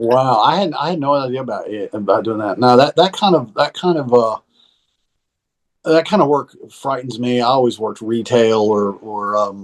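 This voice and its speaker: Against a quiet background, a man with a slight Southern US accent talks at a moderate pace and medium pitch with lively intonation. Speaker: musician and recording teacher. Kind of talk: casual chat.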